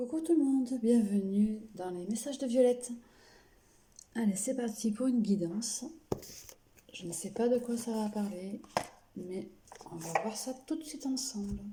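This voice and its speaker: Soft-spoken and fairly high-pitched, a woman talks at a fairly slow pace with ordinary pitch variation and long, frequent pauses over noticeable background noise. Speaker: tarot card reader. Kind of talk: card reading.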